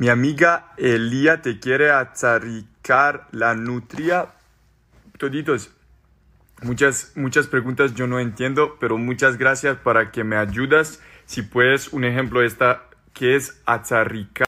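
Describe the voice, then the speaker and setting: Very slowly, a man with a Serbian accent speaks in a bright, sharp tone with fairly even intonation. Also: medium pitch for a man. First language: Serbian (speaking Spanish). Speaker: social media personality; social media creator. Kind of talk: reading and answering social media comments. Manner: halting. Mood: cheerful, amused. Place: home room. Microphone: phone near.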